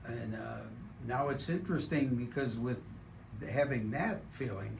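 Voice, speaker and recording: A man's medium-pitched voice with vocal fry and ordinary pitch variation at a fairly slow pace, with audible room echo. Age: 70s. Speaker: patient. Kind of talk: testimony.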